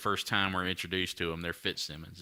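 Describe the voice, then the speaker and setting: On a very clean recording with a silent background, the speaker talks very fast in a Southern US accent, with a bright, sharp tone and ordinary pitch variation. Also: man. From North Carolina, USA. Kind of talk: casual podcast banter, profane.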